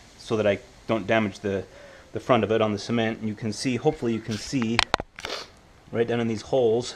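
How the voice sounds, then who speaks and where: Noticeable background noise accompanies a man's fairly low voice. His intonation is monotone and flat. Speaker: home car repair hobbyist. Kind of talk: DIY repair tutorial talk to camera.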